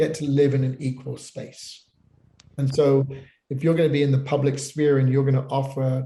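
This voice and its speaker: Somewhat breathy and dark, mellow in tone, a man's voice in a British accent sits at a fairly high pitch. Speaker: pastor. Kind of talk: panel discussion. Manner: halting, many repeated words.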